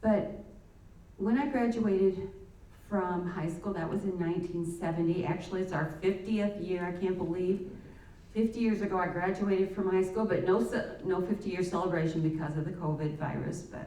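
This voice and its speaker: A woman with an American accent speaks at a moderate pace and medium pitch with fairly even intonation, audible room echo and noticeable background noise. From US Midwest, Indiana. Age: 60s. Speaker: church member. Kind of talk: testimony. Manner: halting.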